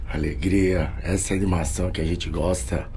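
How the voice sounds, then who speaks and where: A man speaks at a moderate pace in a very deep, low voice over noticeable background noise. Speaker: running vlogger. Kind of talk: casual vlog chat.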